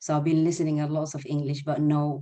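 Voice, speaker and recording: The speaker talks at a fairly quick pace with an Arabic accent. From Sudan (Eritrean family). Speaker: nursing student, former refugee. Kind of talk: webinar interview. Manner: halting.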